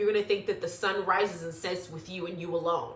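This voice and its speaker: A woman talks at a fairly quick pace in an animated tone. Her voice carries audible room echo and noticeable background noise. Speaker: YouTube reality TV commentator. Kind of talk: casual reality show recap monologue.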